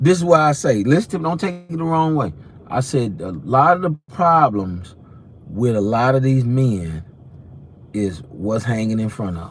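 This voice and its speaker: The voice is somewhat breathy, with very wide pitch swings and big swings in loudness. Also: man, medium pitch for a man, moderate pace. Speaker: preacher. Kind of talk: sermon. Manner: animated; stuttering.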